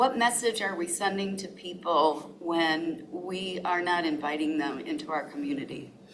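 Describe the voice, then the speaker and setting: A woman speaks at a moderate pace with hardly any pauses, in a fairly low voice with ordinary pitch variation. Noticeable background noise and audible room echo surround her. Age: 70s. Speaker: public commenter, resident. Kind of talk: public comment.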